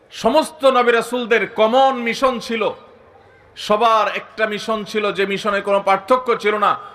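The man's voice is high and his intonation fairly level, with noticeable noise in the background. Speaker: Islamic preacher. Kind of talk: sermon.

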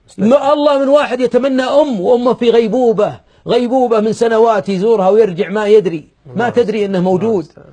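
A man's voice, extremely high in pitch yet dark and mellow in tone, shows ordinary pitch variation and big swings in loudness against a quiet background. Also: moderate pace. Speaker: preacher. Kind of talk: sermon. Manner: raised, emphatic voice at times. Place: studio. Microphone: lapel.

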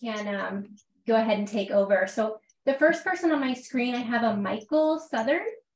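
In a Canadian accent, a woman talks at a fairly quick pace and a high pitch with ordinary pitch variation. Audible room echo is present. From Canada. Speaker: meetup host. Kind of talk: casual chat. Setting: video call. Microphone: webcam.

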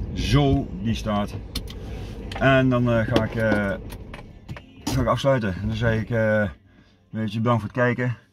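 The speaker goes at a fairly slow pace with ordinary pitch variation and long, frequent pauses over noticeable background noise. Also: man. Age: 50s. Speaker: vlogger. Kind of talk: casual vlog monologue. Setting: outdoors in the woods. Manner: halting, many fillers and repetitions. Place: car. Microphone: phone near.

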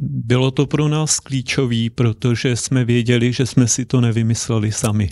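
This man's voice has a dark, mellow tone and fairly even intonation at a moderate pace, with hardly any pauses. The sound is dry with no echo, over a quiet background. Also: medium pitch for a man, very even loudness. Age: 50s. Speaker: church elder and engineer; interview guest. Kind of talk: interview. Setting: studio. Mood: calm, friendly. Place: studio. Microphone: handheld.

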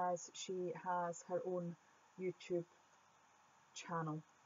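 Very slow speech from a woman in a Scottish accent, medium pitch and monotone, flat intonation. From Scotland. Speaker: art YouTuber. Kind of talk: voiceover Q&A.

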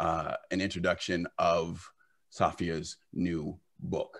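A man talks at a very deep, low pitch, and the background is quiet. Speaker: company CEO and event organizer. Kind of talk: welcome speech. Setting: video call. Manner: talkative, casual. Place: home room. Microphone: video call.

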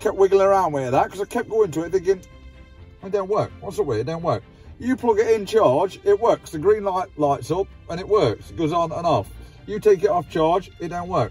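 A man speaks in a high voice at a fairly quick pace with ordinary pitch variation. The sound is dry with no echo, and faint music plays in the background. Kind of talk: casual vlog chat. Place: car. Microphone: phone near.

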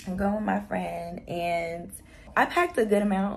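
A woman speaks at a medium pitch with fairly even intonation, her raspy voice dipping into vocal fry.

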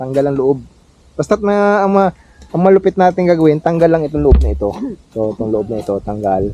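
Very fast and dark, mellow in tone, a man's fairly high voice makes very wide pitch swings. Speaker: farmer vlogger. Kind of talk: casual vlog narration. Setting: outdoors on a farm. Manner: loud.

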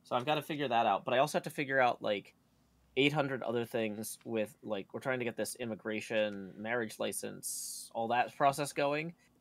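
Speaking in an American accent, the voice keeps a moderate pace. The recording is very clean, and the background is silent. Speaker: streamer. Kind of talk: casual chat. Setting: home stream. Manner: humorous, puts on voices at times.

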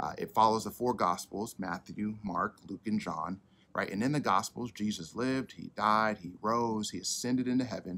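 Bright and sharp in tone, a man's fairly low voice moves at a moderate pace with ordinary pitch variation. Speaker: church pastor. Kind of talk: sermon. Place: garden.

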